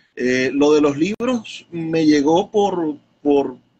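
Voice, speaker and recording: A man with a fairly high pitch speaks in an ordinary speaking voice, his pitch varying in an ordinary way. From Venezuela, Zulia (Maracaibo). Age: 30s. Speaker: poet and bookseller. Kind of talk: interview.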